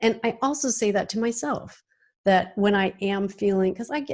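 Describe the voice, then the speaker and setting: A woman has an unremarkable speaking voice, medium in pitch with ordinary variation and a moderate pace. The recording is very clean, with a silent background. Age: 60s. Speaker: singer and music coach. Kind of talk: podcast interview.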